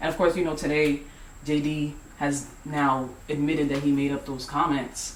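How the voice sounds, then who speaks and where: Noticeable background noise and audible room echo accompany a voice speaking at a moderate pace in a monotone, flat intonation. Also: man, fairly high pitch for a man. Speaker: vlogger. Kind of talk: casual conversation and vlog.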